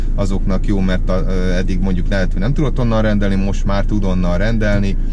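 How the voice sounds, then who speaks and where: At a fairly quick pace, a man talks against noticeable background noise. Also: dry sound with no echo. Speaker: delivery courier vlogger. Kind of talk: casual vlog chat. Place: car. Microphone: camera far.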